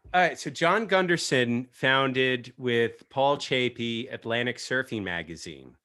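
A man with an American accent and an unremarkable speaking voice, medium in pitch, at a fairly slow pace with hardly any pauses, on a very clean recording with a silent background. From US East Coast. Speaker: podcast host. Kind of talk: casual podcast chat. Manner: casual, joking.

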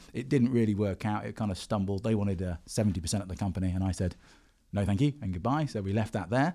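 A man at a very fast pace, fairly low pitch, dark, mellow tone and ordinary pitch variation, on a very clean recording with a silent background. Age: 40s. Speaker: tech entrepreneur and commentator. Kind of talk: casual chat. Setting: studio.

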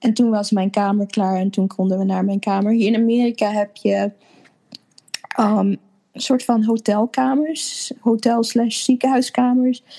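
Her voice is fairly high and an unremarkable speaking voice with ordinary pitch variation. The woman speaks at a fairly slow pace. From Netherlands (Apeldoorn), born in Suriname. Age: 30s. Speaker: interviewee, new mother. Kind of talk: personal story in interview. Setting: video call.

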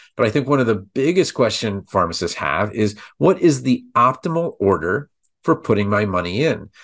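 Swinging very widely in pitch around a medium level, a man talks at a moderate pace against a quiet background. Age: 50s. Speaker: pharmacist and podcast host. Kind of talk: solo educational podcast with promotion. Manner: informal, conversational, fillers.

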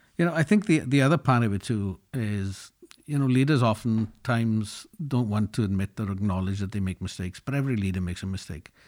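A man with a Welsh accent talks at a fairly low pitch with hardly any pauses, in a very clean recording with a silent background. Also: fairly quick pace. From Wales, Llanelli. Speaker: business executive. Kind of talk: interview.

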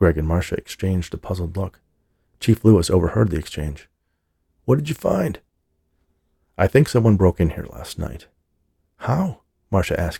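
A man with a very deep, low pitch, dark, mellow tone, somewhat breathy delivery, lively intonation and moderate pace. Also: dry, close sound with no echo. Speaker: audiobook narrator. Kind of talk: audiobook reading of a novel. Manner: measured, storytelling pace.

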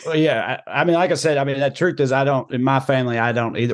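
A man speaks with a Southern US accent. The background is quiet. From US South. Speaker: comedian. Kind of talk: interview.

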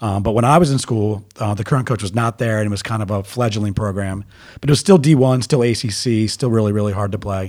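This man has a normal speaking voice with an American accent and a fairly low pitch. He talks at a fairly quick pace with ordinary pitch variation. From US Mid-Atlantic, Baltimore area (Owings Mills). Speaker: youth soccer coach. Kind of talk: casual interview.

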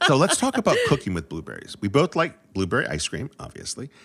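A man with a New England accent and vocal fry talks at a fairly quick pace, his pitch swinging very widely. The recording is very clean, with a silent background. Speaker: food podcast co-host. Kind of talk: casual chat.

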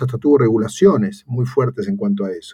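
Somewhat breathy male speech with a dark, mellow tone. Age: 50s. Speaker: technology company executive. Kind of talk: panel interview.

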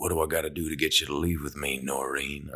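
A raspy, put-on character voice from a man in a Western US accent, very deep and low, flat and monotone, at a very fast pace

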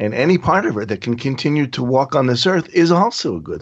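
Here is a man with a plain, everyday voice at medium pitch. He talks at a fairly quick pace with lively intonation. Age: 50s. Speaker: bereaved father of organ donor. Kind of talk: interview.

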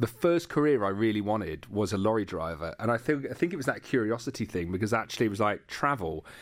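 With a London accent, a man talks at a very fast pace with lively intonation and hardly any pauses, on a very clean recording with a silent background. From East London. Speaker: podcast creator and media entrepreneur. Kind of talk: interview.

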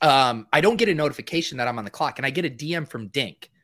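In an ordinary speaking voice, a man with an American accent talks at a moderate pace with lively intonation and a fairly high pitch, recorded with a dry, close sound and no echo. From Boston area. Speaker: podcast co-host. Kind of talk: casual podcast chat.

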